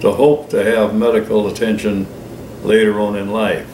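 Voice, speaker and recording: Amid noticeable background noise and audible room echo, a man with an American accent speaks with fairly even intonation. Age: 80s+. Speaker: writer and retired businessman. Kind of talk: extemporaneous monologue. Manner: unscripted, some hesitations.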